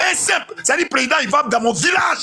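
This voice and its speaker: Raised, projected man's voice with a bright, sharp, animated tone, very wide pitch swings and a moderate pace. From Ivory Coast. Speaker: caller on live panel. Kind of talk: heated political rant. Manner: loud.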